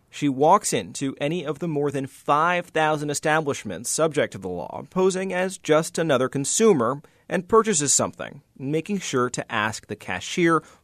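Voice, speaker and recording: A man with a plain, everyday voice speaks at a moderate pace with a fairly high pitch and lively intonation. The sound is dry and close with no echo, and the background is quiet. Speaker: environment reporter. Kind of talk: scripted news report.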